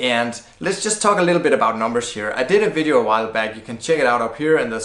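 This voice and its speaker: A man with a non-native accent talks over noticeable background noise, and the room echo is audible. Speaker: blogging educator. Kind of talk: tutorial. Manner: casual, conversational.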